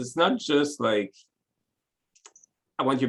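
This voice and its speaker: Fairly slow speech in a French accent with lively intonation and vocal fry. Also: man. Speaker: web developer, company owner. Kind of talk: interview. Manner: halting.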